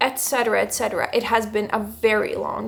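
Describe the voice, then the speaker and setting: With a Latvian accent, a woman speaks at a moderate pace. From Latvia, Riga. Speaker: musician and music producer. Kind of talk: casual vlog talk.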